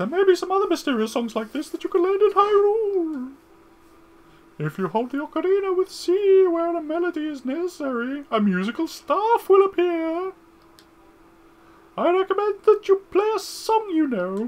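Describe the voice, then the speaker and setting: A squeaky, put-on character voice at an extremely high pitch speaks at a moderate pace. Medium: game stream. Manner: long-winded, instructive.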